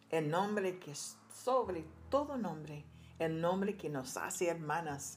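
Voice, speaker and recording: Speaking at a fairly slow pace with lively intonation, a woman with a fairly low pitch is heard over music in the background and audible room echo. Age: 70s. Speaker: churchwoman giving testimony. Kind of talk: testimony.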